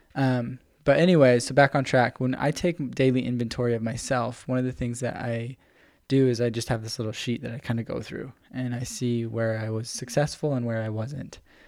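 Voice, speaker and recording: With an unremarkable speaking voice, a man talks at a medium pitch and a fairly quick pace, his intonation fairly even, in a very clean recording with a silent background. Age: 20s. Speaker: podcast co-host. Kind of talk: casual chat.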